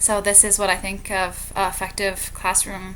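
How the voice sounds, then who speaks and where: Medium pitch and monotone, flat intonation from a woman. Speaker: student teacher. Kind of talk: reflective monologue. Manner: fast.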